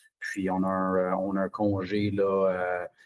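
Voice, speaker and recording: A man speaks with a Franco-Ontarian accent. The recording is very clean with a silent background and a dry, close sound with no echo. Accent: Franco-Ontarian Canadian French. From Ontario, Orléans (east Ottawa), Franco-Ontarian. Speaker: junior hockey head coach. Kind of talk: interview. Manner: halting, many fillers and repetitions.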